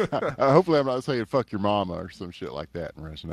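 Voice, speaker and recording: The speaker has a Texan accent and vocal fry. Their pitch swings very widely. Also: man. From East Texas. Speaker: esports hockey commentator. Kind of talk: live commentary. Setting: live stream. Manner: animated.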